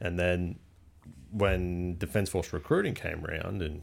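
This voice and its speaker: This man's voice is very deep and low-pitched, with a somewhat breathy quality. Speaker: air force pilot and hunter. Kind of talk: casual chat.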